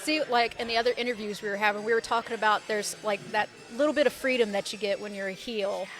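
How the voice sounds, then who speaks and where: Over music in the background, a woman with a fairly high pitch speaks at a very fast pace with fairly even intonation. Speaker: podcast host, interviewer. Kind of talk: interview questions.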